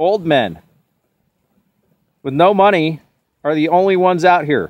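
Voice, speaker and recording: A man shouting loudly in a high pitch, with ordinary pitch variation. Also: moderate pace. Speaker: political video blogger. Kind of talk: on-location vlog rant. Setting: outdoors at the border fence. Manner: loud, yelling.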